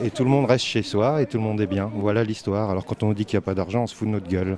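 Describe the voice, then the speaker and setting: A man talks with fairly even intonation. Noticeable background noise is present. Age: 40s. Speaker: graphic designer, protester. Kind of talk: street interview.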